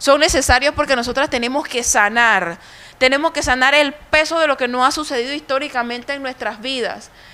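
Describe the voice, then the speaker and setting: With a Panamanian accent, a woman speaks in a raised, projected voice with a high pitch, a bright, sharp tone, ordinary pitch variation and a fairly quick pace. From Panama, Colón. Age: 30s. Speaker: speaker at a women's conference. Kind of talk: conference talk. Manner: impassioned.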